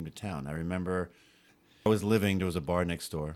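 A man with a New York accent speaks at a very deep, low pitch with fairly even intonation on a very clean recording with a silent background. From New York City. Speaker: futsal organizer. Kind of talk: casual chat.

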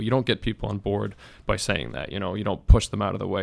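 A man talks at a very fast pace. His voice has vocal fry. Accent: American. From Massachusetts, US. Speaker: graduate policy student. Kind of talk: casual interview.

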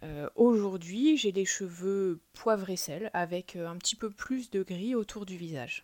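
Speaking at a very slow pace yet with hardly any pauses, a woman uses a medium pitch with ordinary variation, in a dry, close sound with no echo. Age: 30s. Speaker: podcast guest sharing personal experience. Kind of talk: personal testimony interview. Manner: hesitant, frequent fillers and repetitions.

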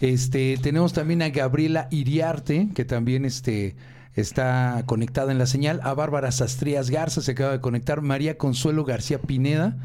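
A man with a Mexican accent speaks at a moderate pace and medium pitch, his tone dark and mellow. His loudness stays very even and his intonation fairly even. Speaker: radio co-host and technician. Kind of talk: reading listener greetings on live radio. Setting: live internet radio studio.

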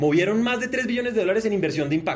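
An animated man with very wide pitch swings. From Colombia, Bogotá. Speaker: sustainability entrepreneur. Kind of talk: keynote presentation.

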